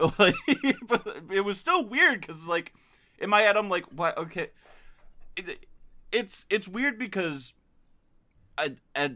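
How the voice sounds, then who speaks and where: A man with a high pitch speaks in a raised, projected voice with a bright, sharp tone. He goes at a fairly slow pace with long, frequent pauses. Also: lively intonation. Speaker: podcast host. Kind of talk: casual chat. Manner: halting.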